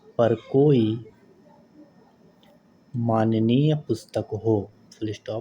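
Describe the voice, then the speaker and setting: Long, frequent pauses break up a man's speech at a medium pitch. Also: fairly even intonation. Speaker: stenography dictation reader. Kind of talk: slow legal text dictation for typing practice. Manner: slow, clear.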